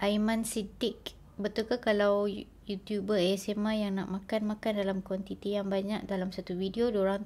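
A woman with a somewhat breathy, medium-pitched voice speaks at a moderate pace. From Malaysia, Kelantan; Malaysia. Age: 30s. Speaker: ASMR YouTuber. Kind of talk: casual Q&A vlog.

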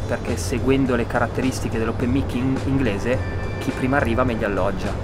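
Music plays in the background. A man is speaking. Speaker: open mic host. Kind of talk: interview answer. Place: garden.

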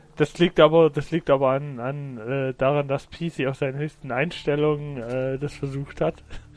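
In a fairly high pitch, a man speaks with monotone, flat intonation. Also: fairly slow pace. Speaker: video game streamer. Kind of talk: live gameplay commentary. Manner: sparse talking.

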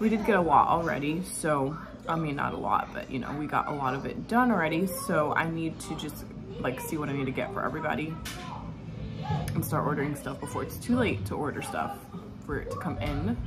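With clear music in the background, a woman speaks at a fairly quick pace. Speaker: mother vlogger. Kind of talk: casual vlog chat. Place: kitchen. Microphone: phone near.

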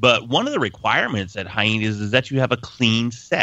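With a plain, everyday voice, a man speaks at a fairly low pitch with fairly even intonation over a quiet background, the sound dry with no echo. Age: 40s. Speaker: voice-over artist and podcast host; guest host. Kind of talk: casual podcast chat. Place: studio.

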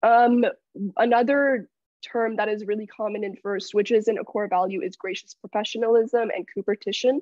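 At a moderate pace, a woman speaks in a fairly high voice, the sound dry and echo-free over a quiet background. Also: ordinary pitch variation. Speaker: student robotics bootcamp lead; presenter. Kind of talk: presentation. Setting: video call. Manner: halting. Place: home room. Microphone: video call.

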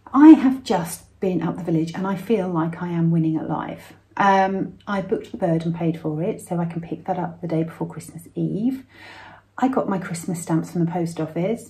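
At a moderate pace, the speaker has a somewhat breathy voice with a dark, mellow tone. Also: woman, fairly low pitch for a woman, ordinary pitch variation. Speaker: vlogger. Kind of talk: casual vlog chat. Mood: cheerful, playful. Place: home room. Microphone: phone near.

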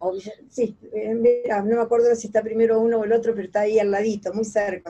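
At a very fast pace, a woman rattles through her words. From Argentina, Mercedes (Buenos Aires province); Buenos Aires province, Argentina. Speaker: singer; interviewee. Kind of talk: interview. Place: home room. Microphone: video call.

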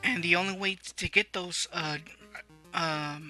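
Very slow speech with music in the background. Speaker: let's play gamer. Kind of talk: gameplay commentary. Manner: stuttering.

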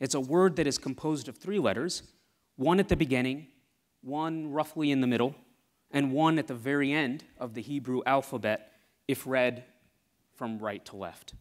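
Against a quiet background, a man with a fairly high voice talks at a moderate pace with ordinary pitch variation and long, frequent pauses. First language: Tamil. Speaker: scientist. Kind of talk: talk to live audience. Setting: stage with audience. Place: hall.

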